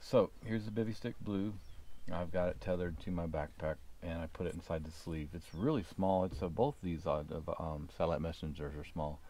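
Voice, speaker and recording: A man speaks with a very deep, low pitch and ordinary pitch variation. The sound is dry with no echo. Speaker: gear reviewer. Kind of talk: casual product demo. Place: garden.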